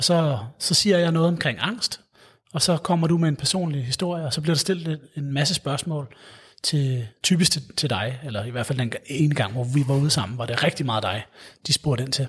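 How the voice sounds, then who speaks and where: Somewhat breathy, a man with a fairly high pitch speaks at a moderate pace, his pitch moving in an ordinary way. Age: 30s. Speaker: psychologist at a mental health charity. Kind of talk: interview. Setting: city hall room. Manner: halting, many fillers and repetitions.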